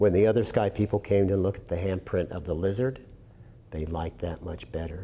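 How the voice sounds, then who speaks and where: A man with a very deep, low pitch and a dark, mellow, somewhat breathy tone speaks fairly quickly, his loudness swinging widely. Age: 60s. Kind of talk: storytelling. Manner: animated.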